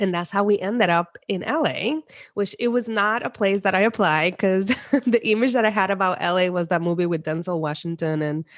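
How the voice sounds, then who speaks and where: A woman with a Spanish accent speaks at a fairly quick pace, her pitch medium. Her pitch varies in an ordinary way against a quiet background. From Puerto Rico, countryside. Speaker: psychologist. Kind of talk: interview.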